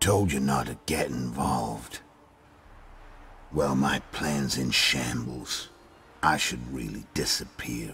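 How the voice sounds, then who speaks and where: A man in a put-on character voice, very deep and low in pitch, with ordinary pitch variation, a fairly slow pace and long, frequent pauses. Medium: video game. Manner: terse, dry.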